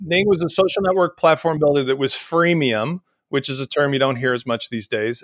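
This man has an unremarkable speaking voice, fairly high for a man, moving at a fairly quick pace with lively intonation. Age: 50s. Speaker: e-commerce software entrepreneur. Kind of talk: casual interview. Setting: video call.

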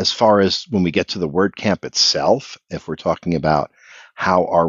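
The man has an American accent and a very deep, low pitch. He keeps a moderate pace and fairly even intonation. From US, Philadelphia area. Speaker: event organizer. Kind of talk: casual chat.

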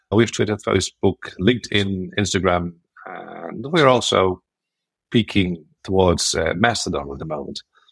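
With a Dutch accent, a man speaks at a very deep, low pitch. His pace is moderate and his pitch variation ordinary. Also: dry, close sound with no echo. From Netherlands. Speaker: WordCamp organizer and WordPress builder. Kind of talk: casual interview chat.

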